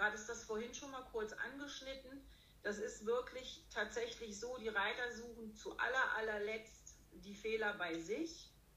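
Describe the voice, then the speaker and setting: A woman speaks fairly slowly at a fairly high pitch with ordinary pitch variation. Audible room echo is present. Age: 50s. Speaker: riding instructor and dressage judge. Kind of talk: interview.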